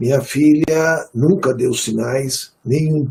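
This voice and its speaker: The voice carries a dark, mellow tone and sounds somewhat breathy. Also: man. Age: 60s. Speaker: retired court officer, bereaved father. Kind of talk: webinar testimony.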